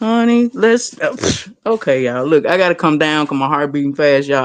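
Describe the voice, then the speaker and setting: The speaker has a Memphis accent and a fairly quick pace. The background is quiet. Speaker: panel guest speaker. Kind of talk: impassioned rant on a live panel. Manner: animated.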